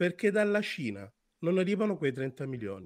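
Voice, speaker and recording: A man at a moderate pace, with very wide pitch swings, on a very clean recording with a silent background. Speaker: football pundit.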